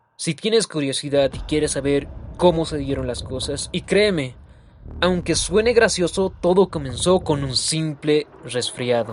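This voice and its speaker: Over noticeable background noise, a man with a fairly high pitch speaks fairly slowly, his intonation lively. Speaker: storyteller. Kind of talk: scripted narration.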